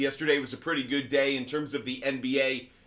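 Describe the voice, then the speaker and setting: A man speaks against noticeable background noise. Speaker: sports betting show host. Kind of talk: live stream sports talk. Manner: loud, projecting.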